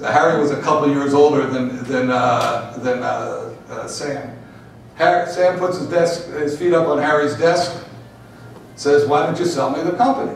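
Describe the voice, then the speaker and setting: With an American accent and a fairly high pitch, a man speaks at a fairly slow pace with ordinary pitch variation, amid noticeable background noise and audible room echo. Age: 60s. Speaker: pinball industry executive. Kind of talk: panel talk, storytelling. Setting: seminar with audience. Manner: halting with many fillers. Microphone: poor audio.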